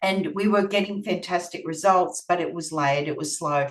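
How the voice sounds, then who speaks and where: The speaker uses an Australian accent at a moderate pace. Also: woman. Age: 50s. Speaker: nutritional therapist. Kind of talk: presentation.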